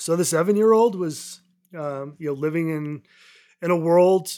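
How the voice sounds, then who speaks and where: This man speaks in an American accent at a fairly slow pace. His pitch varies in an ordinary way, and the recording is very clean with a silent background. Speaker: mental health advocate, former finance worker. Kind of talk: personal testimony in interview.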